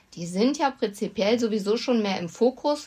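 A woman talks at a moderate pace in an ordinary speaking voice. Her pitch is fairly high, with ordinary variation. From North Rhine-Westphalia, Germany. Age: 40s. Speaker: animal welfare association chair. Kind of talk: casual interview.

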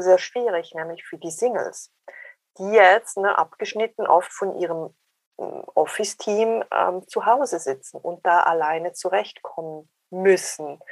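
Dry, close sound with no echo, ordinary pitch variation and a fairly slow pace. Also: woman. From Switzerland. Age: 40s. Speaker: dating coach. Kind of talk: interview.

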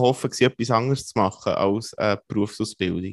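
Over a quiet background, a man with a Swiss accent speaks with ordinary pitch variation in a dry, close sound with no echo. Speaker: podcast host. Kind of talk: interview.

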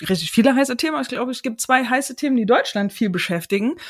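On a very clean recording with a silent background, a woman with a high pitch speaks in an animated tone with very wide pitch swings. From Chemnitz, Saxony, Germany. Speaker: podcast host. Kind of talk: interview.

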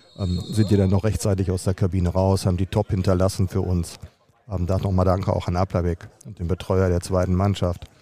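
With monotone, flat intonation, a man talks at a fairly quick pace in a very deep, low voice. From Germany, Dortmund. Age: 50s. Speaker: football team manager. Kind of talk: interview.

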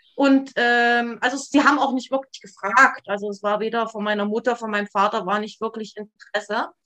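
Barely pausing, a woman with a fairly high pitch speaks fairly quickly with fairly even intonation in an unremarkable speaking voice. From East Germany, near Leipzig. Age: 40s. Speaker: trauma therapist. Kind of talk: interview about life story. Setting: video call.

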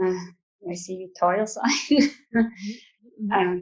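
This woman has a medium-pitched voice. She speaks with a Swiss German accent. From Switzerland. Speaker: coaching client, massage therapist and farmer. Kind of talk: coaching session.

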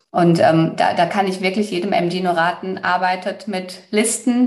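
A woman speaks at a fairly slow pace and medium pitch with ordinary pitch variation. Noticeable background noise is heard. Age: 30s. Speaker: human design coach, former finance worker. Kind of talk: interview.

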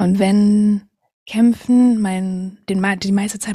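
Here a woman speaks. Her intonation is monotone and flat. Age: 20s. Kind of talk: casual interview.

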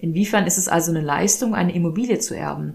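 Noticeable background noise sits behind a woman speaking at a fairly quick pace. Her fairly low pitch moves with lively intonation. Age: 30s. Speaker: podcast host. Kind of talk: solo monologue.

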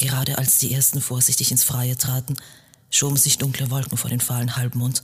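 The words come in an unforced reading voice.

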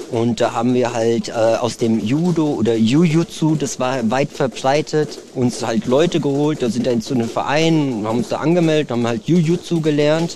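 Moderate pace, ordinary pitch variation and hardly any pauses, over noticeable background noise. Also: man, fairly high pitch for a man. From Germany. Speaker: martial arts trainer. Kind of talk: casual interview.

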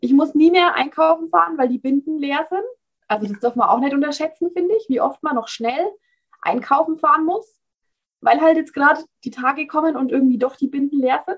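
A high-pitched woman with a Bavarian accent, lively intonation and a fairly quick pace. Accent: Bavarian, audible. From Bavaria, Germany. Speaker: founder of a cloth menstrual pad business. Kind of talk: casual interview.

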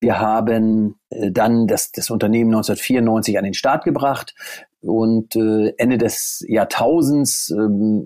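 This voice belongs to a man. It lands at a medium pitch. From northern Germany, near Stade (Lower Saxony). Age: 40s. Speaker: golf course managing director. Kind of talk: interview. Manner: hesitant, many fillers.

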